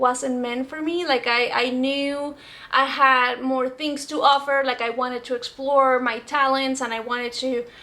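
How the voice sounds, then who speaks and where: A woman with a Spanish accent speaks fairly slowly in a raised, projected voice, her high pitch carrying a bright, sharp tone and a monotone, flat intonation. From Venezuela. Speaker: actress. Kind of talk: casual vlog talk answering comments.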